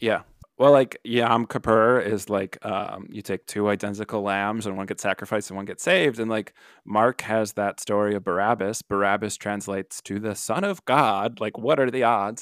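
Here is a man with a plain, everyday voice and an American accent, speaking at a moderate pace with fairly low pitch and fairly even intonation. The sound is dry and close with no echo, on a very clean recording with a silent background. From Milwaukee, Wisconsin. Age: 30s. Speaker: marriage and family therapist. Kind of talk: podcast interview. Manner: casual, many fillers.

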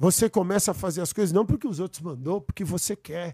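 In a very clean recording with a silent background and a dry, close sound with no echo, a man with a high pitch and a dark, mellow tone talks at a moderate pace with ordinary pitch variation. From São Paulo, Brazil. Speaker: guest. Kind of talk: casual chat. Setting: studio.

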